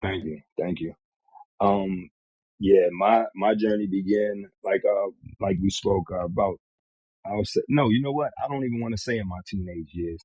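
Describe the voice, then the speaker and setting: In an American accent, a man with a fairly low pitch and an unremarkable speaking voice speaks at a moderate pace with ordinary pitch variation. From Northern Virginia, US. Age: 40s. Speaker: recovering addict sharing his story. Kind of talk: podcast interview, personal testimony.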